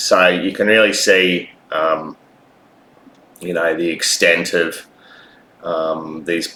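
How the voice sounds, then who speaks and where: A man speaks with an Australian accent. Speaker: vlogger. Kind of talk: personal video monologue. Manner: halting, many fillers.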